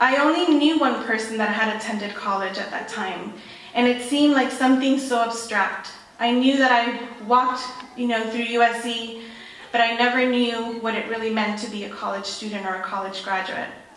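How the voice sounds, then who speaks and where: A woman with an American accent speaks at a moderate pace in a fairly high voice with fairly even intonation. Noticeable background noise and audible room echo come through. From South Central Los Angeles. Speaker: guest speaker, education advocate. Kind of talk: ceremony speech.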